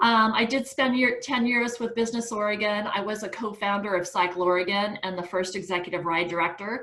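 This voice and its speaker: A woman at medium pitch with ordinary pitch variation, a fairly quick pace and hardly any pauses, amid noticeable background noise and audible room echo. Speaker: nonprofit founder and chair. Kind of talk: presentation on a video call.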